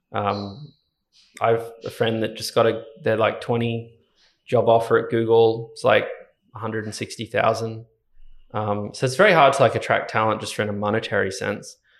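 Moderate pacing broken by long, frequent pauses. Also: man. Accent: Australian. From Ballina, Northern Rivers, New South Wales, Australia. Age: 20s. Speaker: software engineer and startup co-founder. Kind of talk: casual interview chat.

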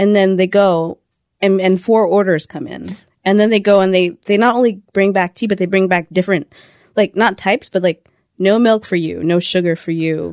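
A woman's normal speaking voice at medium pitch and moderate pace, with fairly even intonation and a dry, close sound with no echo. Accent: American. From California. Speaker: news editor. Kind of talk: casual interview.

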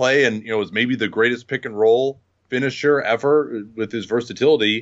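An ordinary speaking voice from a man at a fairly quick pace, with ordinary pitch variation. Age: 40s. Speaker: basketball podcaster. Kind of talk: casual chat.

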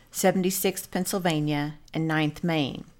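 On a very clean recording with a silent background, a woman with an ordinary speaking voice talks at a moderate pace with ordinary pitch variation. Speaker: podcast co-host. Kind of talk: history documentary narration. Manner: formal, measured, clear storytelling tone.

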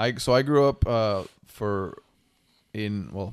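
In a very clean recording with a silent background, a man with an unremarkable speaking voice speaks at a fairly low pitch with ordinary pitch variation. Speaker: single parent. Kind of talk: casual chat.

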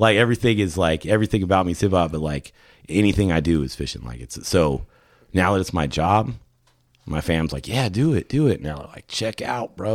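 A man with an American accent speaks at a fairly quick pace, his very deep, low voice marked by vocal fry. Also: lively intonation. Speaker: fishing lure maker. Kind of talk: casual chat. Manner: rambling, all over the place.

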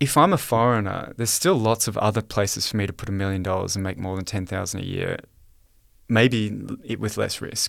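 On a very clean recording with a silent background, a man with an Australian accent speaks fairly quickly in a fairly low pitch with ordinary pitch variation. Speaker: economist and author. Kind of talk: interview.

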